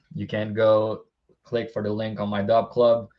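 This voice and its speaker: Speaking with a non-native accent, a man keeps a moderate pace at medium pitch. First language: not English. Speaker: sports betting tipster. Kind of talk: casual podcast chat about betting picks. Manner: casual, repeats words.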